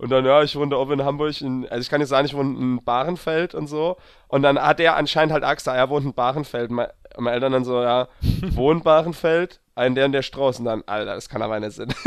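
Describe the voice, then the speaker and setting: A man talks very fast in a fairly high pitch, his intonation fairly even. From Palatinate (Pfalz), Germany. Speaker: podcast co-host. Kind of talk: casual chat.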